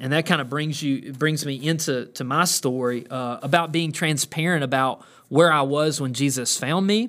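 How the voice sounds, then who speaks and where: The recording is very clean, with a silent background. A man speaks at a fairly high pitch with ordinary pitch variation. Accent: Southern US. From US South (Georgia). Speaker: pastor. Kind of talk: podcast monologue. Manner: halting, many filler words.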